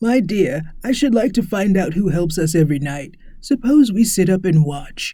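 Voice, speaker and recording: A man puts on a character voice with a high pitch. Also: moderate pace. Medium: read story.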